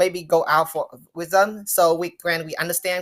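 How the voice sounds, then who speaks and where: A woman's fairly low voice with a non-native accent. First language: not English. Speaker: marketing student. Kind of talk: Q&A answers at virtual showcase. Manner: halting.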